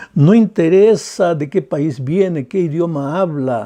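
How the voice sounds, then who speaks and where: Dark and mellow in tone, a man's voice sits at a high pitch. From Peru. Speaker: pastor. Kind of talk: sermon.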